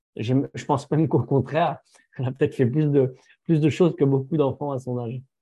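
A man with a fairly high pitch and a dark, mellow tone speaks somewhat breathily at a fairly quick pace, his intonation fairly even. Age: 30s. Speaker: firefighter and social media influencer. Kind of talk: interview testimony. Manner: halting, many fillers.

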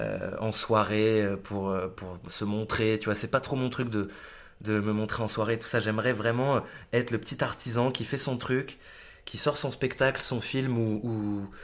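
On a very clean recording with a silent background, a man talks at a fairly slow pace with a medium pitch and fairly even intonation. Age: 30s. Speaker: actor and musician. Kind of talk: casual interview. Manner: halting, many fillers.

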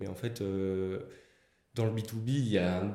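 A man speaks in a dark, mellow tone. The room has an audible echo. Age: 20s. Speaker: engineer and start-up founder. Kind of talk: interview podcast.

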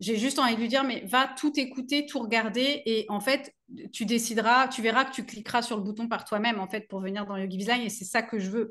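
Her bright, sharp tone sits at a fairly high pitch for a woman, with fairly even intonation. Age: 40s. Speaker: business coach for yoga teachers. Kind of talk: interview. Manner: many hesitations.

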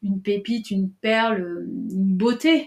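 A woman talks in a somewhat breathy voice, keeping her intonation fairly even. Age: 40s. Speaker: coach and trainer. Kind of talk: interview.

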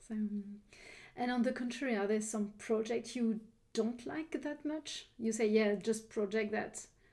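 A woman speaks at a fairly slow pace with a French accent. Her fairly high voice has a dark, mellow tone and ordinary pitch variation. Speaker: interior decorator, podcast host. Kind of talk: interview. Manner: halting.

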